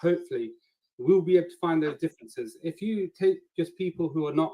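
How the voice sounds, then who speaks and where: In a Nottingham accent, a man talks at a moderate pace with a high pitch. His tone is dark and mellow, and the sound is dry and close with no echo. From England, Nottingham. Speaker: flat earth debater and applicant. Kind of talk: video call application pitch.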